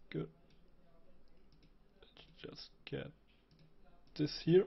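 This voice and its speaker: A somewhat breathy male voice. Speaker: 3D graphics tutorial creator. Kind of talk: software tutorial. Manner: casual with hesitations.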